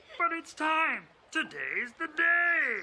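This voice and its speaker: Someone puts on a character voice at an extremely high pitch. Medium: stage play. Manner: coaxing, impatient.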